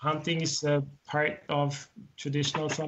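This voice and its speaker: A man with a German accent speaks in a somewhat breathy voice. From Austria. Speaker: writer and translator. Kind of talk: interview.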